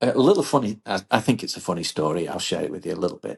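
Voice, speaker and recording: An English accent with ordinary pitch variation. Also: man. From England. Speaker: business leader, former engineer. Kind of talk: podcast interview. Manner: repeats words, some false starts.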